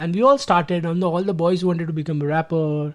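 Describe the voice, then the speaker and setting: A man speaks with an Indian accent. His pace is very fast. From India, Gujarat. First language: Gujarati. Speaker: DJ. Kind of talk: interview. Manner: hesitant, many fillers.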